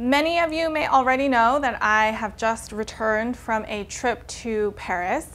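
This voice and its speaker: Speaking at a fairly slow pace, a woman shows ordinary pitch variation. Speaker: fashion vlogger. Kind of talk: casual vlog tutorial. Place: home room. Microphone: lapel.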